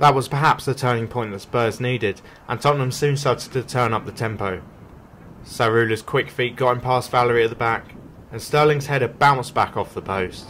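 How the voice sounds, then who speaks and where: Using an ordinary speaking voice, a man of medium pitch talks at a fairly quick pace with fairly even intonation. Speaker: match report narrator. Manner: measured, even and formal, steady newsreader-like delivery.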